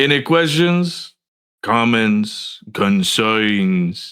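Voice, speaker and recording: Putting on a character voice, a man speaks at a medium pitch and a very slow pace with lively intonation. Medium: actual play. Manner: mocking, menacing.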